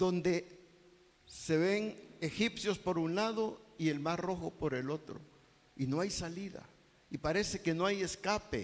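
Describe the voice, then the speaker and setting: A man with a high pitch and a very slow pace. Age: 60s. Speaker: pastor. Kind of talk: sermon.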